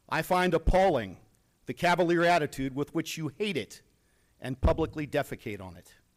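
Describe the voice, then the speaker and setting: A man with a fairly high pitch speaks in lively intonation, with vocal fry and big swings in loudness. The recording is very clean with a silent background, and the sound is dry and close with no echo. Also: moderate pace. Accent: American. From Virginia. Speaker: retired army chaplain and veteran. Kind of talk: public comment speech at a school board meeting. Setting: meeting hall. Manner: forceful, indignant.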